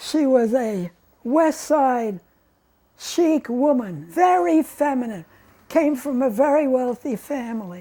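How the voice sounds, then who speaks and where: The speaker has an American accent and a very slow pace. The pitch swings very widely. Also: woman. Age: 80s+. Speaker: retired journalist. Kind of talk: interview answer.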